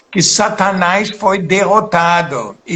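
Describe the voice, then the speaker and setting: Here a man with a non-native accent talks at a very slow pace. His pitch is high, and his intonation is fairly even. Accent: foreign accent in Portuguese. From Poland. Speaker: pastor and missionary. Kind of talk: sermon. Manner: halting.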